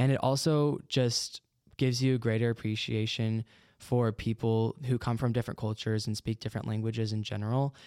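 A man's medium-pitched voice, dark and mellow, at a fairly quick pace with fairly even intonation, in a very clean recording with a silent background and a dry, close sound with no echo. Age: young. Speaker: ministry student. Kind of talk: interview. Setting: studio.

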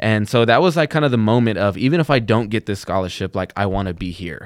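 Delivered at a very fast pace with an American accent, the speech comes through in a very clean recording with a silent background and a dry, close sound with no echo. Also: man. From Texas (Plainview). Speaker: college student, scholarship recipient. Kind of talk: casual chat. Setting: studio.

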